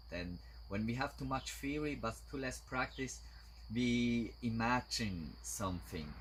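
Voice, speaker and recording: A man talks with a non-native accent. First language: German. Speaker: martial arts teacher. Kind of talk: instructional talk. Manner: halting.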